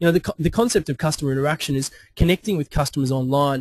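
A man with an Australian accent at a very fast pace, fairly high-pitched and somewhat breathy, with fairly even intonation and a dry, close sound with no echo. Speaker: webinar presenter, digital consultant. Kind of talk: webinar presentation. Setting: online webinar. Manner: halting, many fillers and repetitions.

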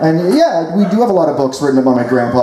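A man talks at a fairly quick pace amid loud background noise and audible room echo. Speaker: stand-up storyteller. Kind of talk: comedic monologue. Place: tent.

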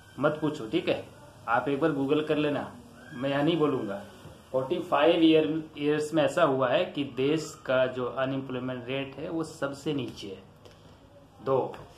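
Amid noticeable background noise and audible room echo, a man with a fairly high pitch speaks at a fairly slow pace with fairly even intonation. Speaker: YouTuber explaining current affairs. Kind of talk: explainer talk. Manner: informal, repetitive with frequent fillers.

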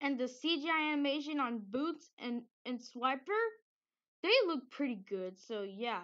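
Over a quiet background, a woman with a bright, sharp tone speaks fairly slowly, her intonation lively. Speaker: amateur movie reviewer. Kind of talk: movie review. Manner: halting, stuttering.

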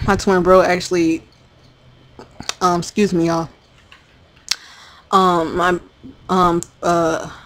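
A woman speaks very slowly in a fairly low, monotone voice with flat intonation. She leaves long, frequent pauses. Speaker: gamer. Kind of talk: casual talk to camera.

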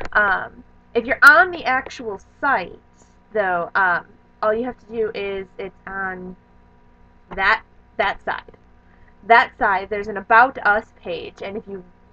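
An animated woman's voice at a fairly high pitch with ordinary pitch variation. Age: 20s. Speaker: vlogger. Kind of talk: casual vlog monologue. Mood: cheerful, enthusiastic. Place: home room. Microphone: webcam.

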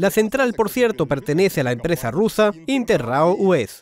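A high-pitched man's voice with very wide pitch swings. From Moscow, Russia. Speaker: travel vlogger. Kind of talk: documentary narration with street interviews.

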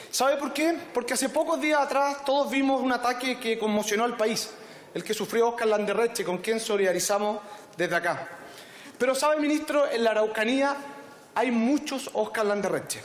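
Audible room echo at a moderate pace. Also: man, extremely high pitch for a man, ordinary pitch variation. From Chile. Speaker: politician. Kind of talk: parliamentary debate. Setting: parliament chamber. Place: hall. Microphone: podium.

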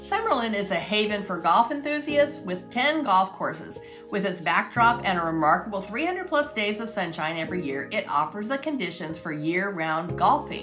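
A woman talks at a moderate pace with hardly any pauses. Clear music plays in the background. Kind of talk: scripted presentation. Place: home room.

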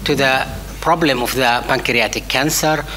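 Noticeable background noise sits behind a woman's very deep, low voice. Her intonation is monotone and flat. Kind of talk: conference lecture. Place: hall. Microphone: podium.

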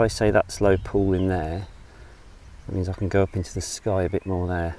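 The sound is dry, with no echo. A man talks at a fairly quick pace in a fairly low pitch and a dark, mellow tone. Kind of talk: tutorial. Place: open country. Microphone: phone near.

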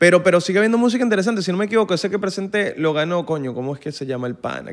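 Over a quiet background, a high-pitched man talks at a very fast pace with lively intonation in a Venezuelan accent. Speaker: musician and content creator; content creator. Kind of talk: casual chat. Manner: animated. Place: studio. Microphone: studio mic.

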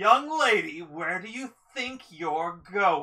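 The speaker uses a put-on character voice. It is fairly high-pitched and very slow. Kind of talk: tabletop role-play narration in character.

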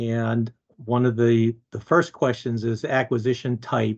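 A man at a fairly slow pace, with a quiet background. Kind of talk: meeting question. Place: home room. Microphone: video call.

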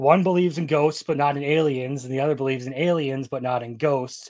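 Against a quiet backdrop, the delivery runs at a fairly quick pace. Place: home room.

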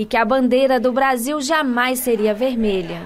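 This woman talks at a fairly slow pace, her high pitch carried by fairly even intonation. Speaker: news reporter. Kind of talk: TV news report narration.

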